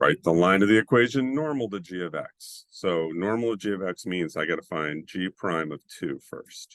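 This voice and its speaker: With a dry, close sound and no echo, a man speaks in a very deep, low pitch with lively intonation. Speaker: math teacher. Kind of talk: tutorial. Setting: screen-share video lesson.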